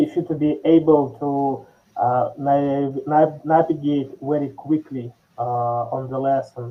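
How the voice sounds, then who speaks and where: Speaking with a non-native accent, a man talks at a very slow pace, his fairly high voice flat and monotone. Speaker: software developer and course creator. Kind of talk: conference talk. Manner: halting with many fillers and self-corrections.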